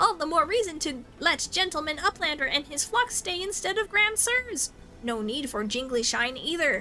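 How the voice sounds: A woman uses a put-on character voice with an extremely high pitch. She speaks at a moderate pace over clear background noise.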